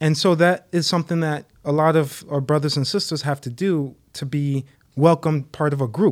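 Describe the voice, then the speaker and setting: Recorded very cleanly against a silent background, a man with an American accent speaks in an unremarkable speaking voice at a moderate pace, with a fairly high pitch and fairly even intonation. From Connecticut, US; Haitian parents. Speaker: young adult ministry leader. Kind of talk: casual chat.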